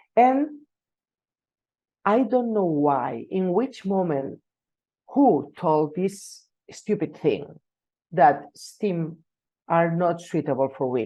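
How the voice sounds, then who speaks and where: The speech comes at a very slow pace with long, frequent pauses and very wide pitch swings. The tone is dark and mellow against a quiet background. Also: woman, fairly low pitch for a woman. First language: Catalan. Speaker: engineering professor. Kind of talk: conference talk. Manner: halting, many fillers and repetitions.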